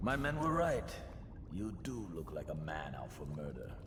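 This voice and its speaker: A man's gruff put-on character voice at medium pitch and moderate pace, over loud background noise. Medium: video game. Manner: gruff, streetwise, slangy.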